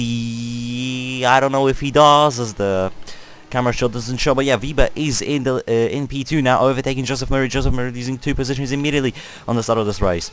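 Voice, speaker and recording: Very fast speech comes from a man whose voice sits at a medium pitch. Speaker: sim racing league commentator. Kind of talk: live commentary. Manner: animated.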